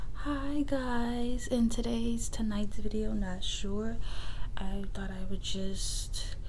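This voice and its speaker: Soft-spoken and relaxed in tone, a woman talks against noticeable background noise. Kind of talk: ASMR soft-spoken rambling to camera. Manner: soft-spoken, relaxed, casual.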